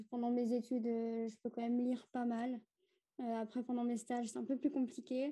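At a moderate pace, the speaker's tone comes across dark and mellow. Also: woman. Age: 20s. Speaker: nursing student and book blogger. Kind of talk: casual chat.

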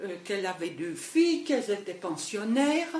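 A woman talks at a medium pitch with very wide pitch swings. Noticeable background noise runs behind her. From Paris area and Le Mans. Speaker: host's mother. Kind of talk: life story interview.

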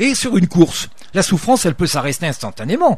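A man's high-pitched voice at a fairly quick pace, with very wide pitch swings. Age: 60s. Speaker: retired soldier and ultra-trail runner. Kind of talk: radio interview. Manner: halting, many repetitions.

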